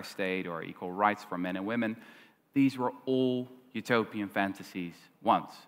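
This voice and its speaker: With a Dutch accent, a man talks at a fairly low pitch with ordinary pitch variation. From Netherlands. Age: 20s. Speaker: historian and author; guest. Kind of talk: onstage interview. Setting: stage with audience. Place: stage. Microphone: headset.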